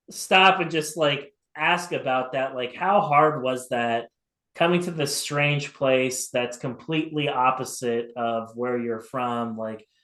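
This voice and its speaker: Very slowly, a man speaks at a medium pitch with ordinary pitch variation. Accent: American. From California. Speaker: MMA interviewer. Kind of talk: interview.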